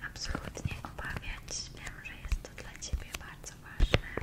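Whispering, a woman speaks at a very slow pace. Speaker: ASMR creator. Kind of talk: ASMR role-play, whispered makeup and skincare session. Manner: whispered, soft-spoken. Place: home room.

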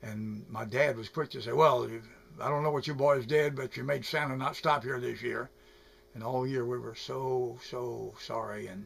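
His voice is somewhat breathy, and his intonation stays fairly even. The man speaks at a moderate pace. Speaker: storyteller. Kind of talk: personal storytelling to camera. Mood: nostalgic, gentle, a bit sad. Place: home room. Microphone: webcam.

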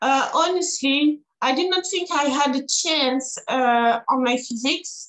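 A woman speaks with a French accent at a high pitch. The background is quiet. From France. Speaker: IFBB pro bodybuilder and Olympian. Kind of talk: casual interview. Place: home room. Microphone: video call.

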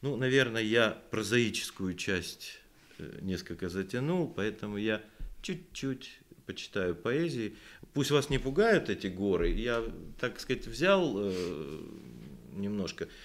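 Speaking at a very slow pace, a man leaves long, frequent pauses while his pitch swings very widely. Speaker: poet and composer; poet. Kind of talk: literary talk with poetry reading. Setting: library event with audience. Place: hall. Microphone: podium.

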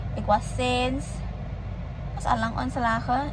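Recorded with noticeable background noise, a woman's voice comes through dry with no echo. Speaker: vlogger. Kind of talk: casual vlog chat. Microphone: phone near.

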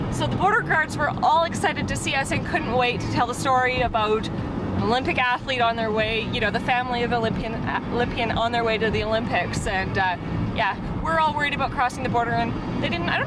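Loud background noise surrounds a woman talking at a very fast pace in a dry sound with no echo. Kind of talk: casual vlog chat. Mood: amused, lively. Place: car. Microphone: phone near.

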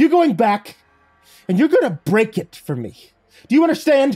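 In a put-on character voice, a man speaks at a moderate pace with an extremely high, shrill pitch, big pitch swings, a slightly mellow tone and a slightly husky edge, while faint music plays in the background.

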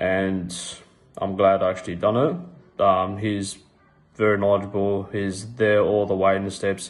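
The voice carries an Australian accent and a monotone, flat intonation. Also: man. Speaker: fitness coaching client. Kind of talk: testimonial. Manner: halting, many ums. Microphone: phone near.

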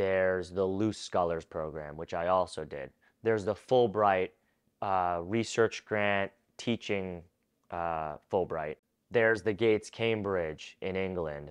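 A man speaks at a very deep, low pitch and a fairly slow pace. His intonation is fairly even, and the background is quiet. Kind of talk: educational advice talk. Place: home room. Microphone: lapel.

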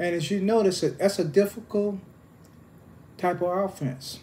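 A man speaks in a high pitch. His pace is fairly slow. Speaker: football coach. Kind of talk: interview answer. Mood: calm, reminiscing. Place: home room. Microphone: phone near.

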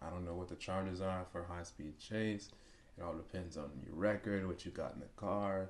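A man with an American accent, very deep and low in pitch, at a moderate pace. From US South. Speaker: YouTuber reacting to car chase videos; reaction video host. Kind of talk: casual reaction commentary; reaction commentary. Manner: animated. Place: home room.

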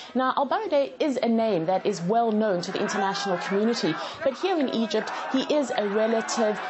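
At a fairly quick pace, a woman talks while noticeable background noise continues. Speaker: field correspondent. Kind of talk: news report.

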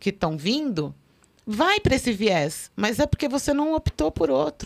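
Against a quiet background, a woman speaks with a fairly high pitch. Her voice makes very wide pitch swings. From Brazil. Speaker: forensic expert; guest. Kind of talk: casual chat. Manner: talkative. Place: studio. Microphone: studio mic.

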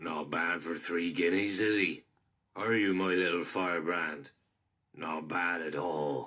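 A man puts on a character voice with a very deep, low pitch. He speaks at a fairly slow pace.

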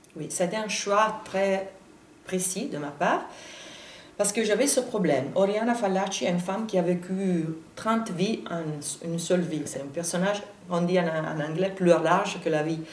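A fairly slow delivery in an Italian accent, with long, frequent pauses, ordinary pitch variation, audible room echo and light background noise. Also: woman. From Italy. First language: Italian (speaking French). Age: 40s. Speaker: journalist and biographer; journalist. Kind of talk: interview; interview answer. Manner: halting. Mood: thoughtful, lightly animated. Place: studio.

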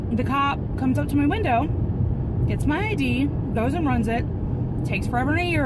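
A fairly quick pace over loud background noise. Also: woman. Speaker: vlogger. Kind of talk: casual vlog storytelling. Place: car. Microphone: phone near.

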